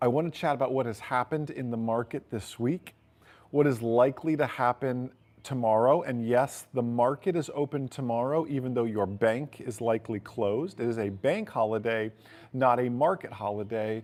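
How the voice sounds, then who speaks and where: At a moderate pace and medium pitch, a man talks with ordinary pitch variation in a very clean recording with a silent background. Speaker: finance channel host. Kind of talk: casual market commentary livestream. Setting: outdoors. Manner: loud.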